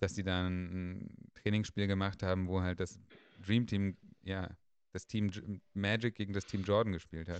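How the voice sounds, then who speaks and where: Long, frequent pauses break up this man's fairly slow, monotone delivery, his pitch very deep and low. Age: 30s. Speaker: podcast host. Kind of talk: casual chat.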